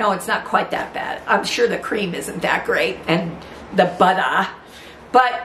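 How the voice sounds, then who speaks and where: A woman talks at a fairly slow pace with ordinary pitch variation. The room echo is audible, and light background noise sits underneath. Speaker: home cook host. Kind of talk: casual cooking vlog chat. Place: kitchen.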